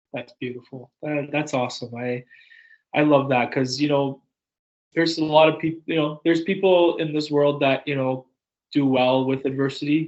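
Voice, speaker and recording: This is a normal speaking voice, a man's, fairly high in pitch. He keeps a moderate pace and fairly even intonation. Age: 20s. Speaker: podcast host. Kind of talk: casual chat.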